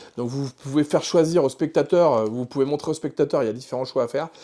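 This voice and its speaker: The recording is very clean, with a silent background. A man speaks in a fairly high pitch with a dark, mellow tone and ordinary pitch variation. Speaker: magic shop owner presenting products. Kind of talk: product presentation video. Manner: fast; animated.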